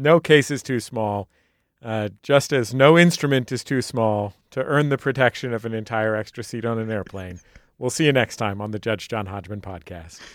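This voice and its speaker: Using a normal speaking voice, a man talks at a moderate pace and medium pitch with ordinary pitch variation. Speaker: podcast co-host and bailiff. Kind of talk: scripted show introduction. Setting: studio.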